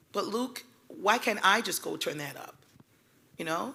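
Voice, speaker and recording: A loud woman's voice, bright and sharp, in a very clean recording with a silent background. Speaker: community development panelist. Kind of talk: panel discussion.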